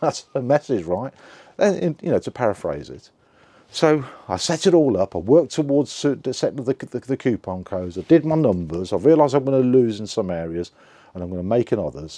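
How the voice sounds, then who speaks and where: A man with an English accent speaks at a fairly quick pace in a medium pitch, his tone dark and mellow. His pitch swings very widely, and the sound is dry and close with no echo. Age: 60s. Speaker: online seller vlogger. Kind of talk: casual video log. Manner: halting, repeats words.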